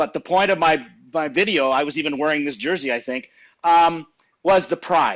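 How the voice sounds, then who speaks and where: A man with a Canadian accent, high pitch, ordinary pitch variation and a moderate pace. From Saskatchewan, Canada. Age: 60s. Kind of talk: casual interview chat.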